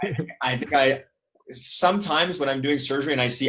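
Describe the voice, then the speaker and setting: With a Toronto accent, a man talks in fairly even intonation. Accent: Toronto Canadian. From Canada, Toronto. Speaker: periodontist. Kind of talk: casual interview chat.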